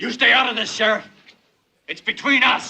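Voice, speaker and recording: A man doing a put-on character voice. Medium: short film.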